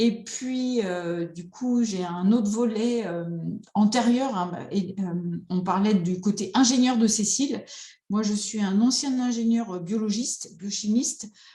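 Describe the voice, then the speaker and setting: At a very slow pace, a woman speaks in a fairly high pitch with a dark, mellow, somewhat breathy tone and ordinary pitch variation, with audible room echo. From France, rural. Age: 50s. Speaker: psychotherapist. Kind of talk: online conference talk.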